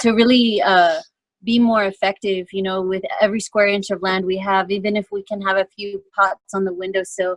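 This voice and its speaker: In an Andean accent, the voice moves at a moderate pace with monotone, flat intonation. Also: woman. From Andes, South America. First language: Quechua. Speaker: art activist and farmer. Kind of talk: panel discussion.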